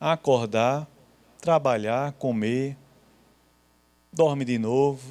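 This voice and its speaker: This man talks at a very slow pace in a fairly high pitch. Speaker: Bible teacher. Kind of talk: Bible class lecture. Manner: conversational.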